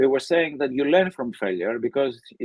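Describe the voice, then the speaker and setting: Lively intonation marks this man's speech at a medium pitch. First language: Greek. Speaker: professor. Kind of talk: interview.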